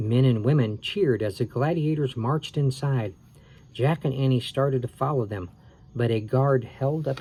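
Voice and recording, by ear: Ordinary pitch variation while reading aloud in a natural voice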